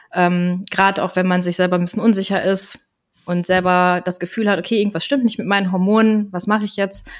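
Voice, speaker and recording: In an unremarkable speaking voice, a woman of medium pitch talks at a fairly quick pace with fairly even intonation, on a very clean recording with a silent background. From Germany, Koblenz (Rhineland). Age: 30s. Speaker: health coach. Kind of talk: casual interview. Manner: laughing.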